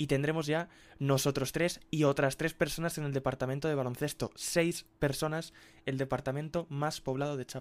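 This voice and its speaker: In a very clean recording with a silent background, a man talks at a moderate pace with a fairly high pitch and a monotone, flat intonation. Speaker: sports editor. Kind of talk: casual chat.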